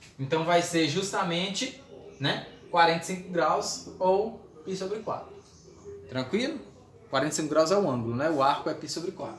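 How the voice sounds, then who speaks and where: The speaker moves at a moderate pace with lively intonation. Room echo and noticeable background noise can be heard. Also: man. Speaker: math teacher. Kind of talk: lecture. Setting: recorded video lesson.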